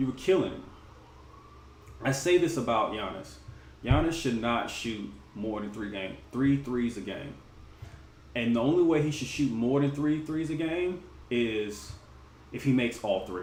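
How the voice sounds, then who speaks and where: A man speaks at a moderate pace with lively intonation and long, frequent pauses, with audible room echo and noticeable background noise. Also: medium pitch for a man. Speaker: sports vlogger. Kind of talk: casual commentary livestream.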